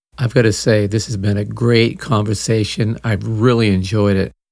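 A man with an ordinary speaking voice, fairly low in pitch, fairly slow, with ordinary pitch variation. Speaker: podcast host. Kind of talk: casual interview.

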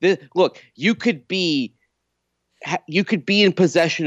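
This man's delivery is fairly slow and carries vocal fry. His pitch rises and falls very widely. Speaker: radio co-host. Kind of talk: casual sports radio talk. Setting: on location at the NFL Combine.

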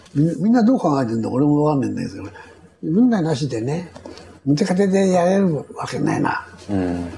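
Noticeable background noise surrounds a man talking at a fairly quick pace. His fairly high voice swings very widely in pitch. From Tokyo. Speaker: war veteran and company chairman. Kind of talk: interview recounting war memories.

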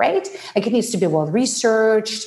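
Fairly quick speech from a woman with a fairly high voice amid noticeable background noise. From Ukraine. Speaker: personal branding expert. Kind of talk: interview.

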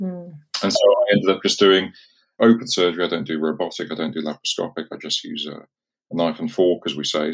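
A man with an English accent, talking at a fairly quick pace. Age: 50s. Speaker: consultant urologist. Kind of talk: casual chat.

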